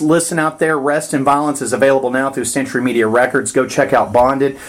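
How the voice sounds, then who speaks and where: The tone is enthusiastic and the pace very fast. Music sits in the background. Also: man. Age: 40s. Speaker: podcast host. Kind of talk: interview.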